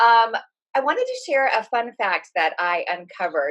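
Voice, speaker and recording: A woman with a Californian accent speaks with lively intonation. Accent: California. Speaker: psychic, podcast co-host. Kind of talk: casual chat.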